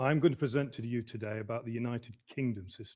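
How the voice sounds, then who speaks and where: A man talks fairly quickly with a Midlands accent. His voice is somewhat breathy. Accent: Midlands English, northern short u and a. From English Midlands. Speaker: emergency management consultant. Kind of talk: lecture. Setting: online lecture.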